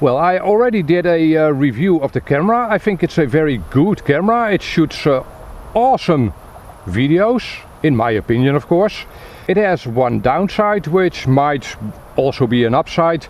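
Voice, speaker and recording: Over noticeable background noise, a man speaks with very even loudness and very wide pitch swings. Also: moderate pace. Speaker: tech reviewer. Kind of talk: product review. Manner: hesitant, many fillers.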